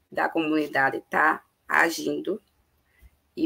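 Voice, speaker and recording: A woman speaks at a very slow pace. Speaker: panelist on climate and migration. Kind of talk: online panel discussion. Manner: hesitant, many fillers.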